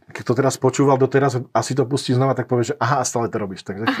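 A man's somewhat breathy voice at a very fast pace, with monotone, flat intonation. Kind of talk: interview. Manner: hesitant, stutters at times.

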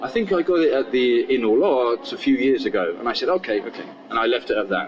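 Over noticeable background noise, a man talks at a fairly quick pace with a southern English accent. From southern England (Portsmouth). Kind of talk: casual interview storytelling.

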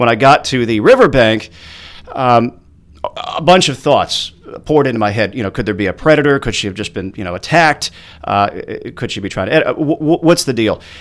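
With noticeable background noise behind him, a man speaks at a fairly quick pace with lively intonation. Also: medium pitch for a man. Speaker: traffic reporter and photographer. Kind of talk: interview. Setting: studio.

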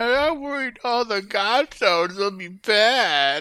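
In a put-on, whiny character voice, a female-sounding speaker talks fairly slowly at a fairly high pitch on a very clean recording with a silent background. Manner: whining.

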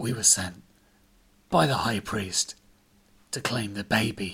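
A put-on character voice from a man, fairly low-pitched and fairly slow. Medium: read story. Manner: quiet, halting.

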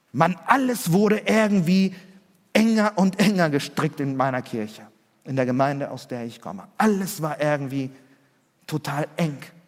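This man's voice sits fairly high and swings very widely in pitch, with big jumps in loudness. He keeps a moderate pace broken by long, frequent pauses. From Chile, then Germany from age 8. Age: 40s. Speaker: pastor. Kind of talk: sermon.

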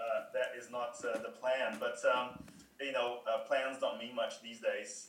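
A man speaks at a moderate pace. There is audible room echo. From Brazil. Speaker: customer success worker. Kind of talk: casual chat. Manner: halting.

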